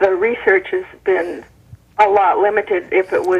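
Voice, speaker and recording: With noticeable background noise behind her, a woman speaks at a moderate pace in a medium pitch with fairly even intonation. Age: 60s. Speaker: caller. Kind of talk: call-in comment.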